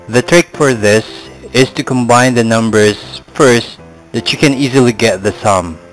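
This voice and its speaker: Music sits in the background. A man speaks at a fairly slow pace. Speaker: math tutor. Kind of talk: tutorial.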